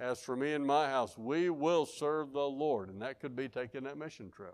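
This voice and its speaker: A man with a Southern US accent speaks at a moderate pace in a fairly high pitch. His pitch varies in an ordinary way, and the background is quiet. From Arkansas. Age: 50s. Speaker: pastor. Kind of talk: sermon. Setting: church.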